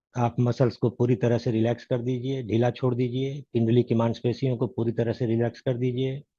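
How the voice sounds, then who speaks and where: A man's somewhat breathy, medium-pitched voice with a dark, mellow tone, flat monotone intonation, very even loudness and hardly any pauses. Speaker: meditation teacher. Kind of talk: guided meditation. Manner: gentle; slow.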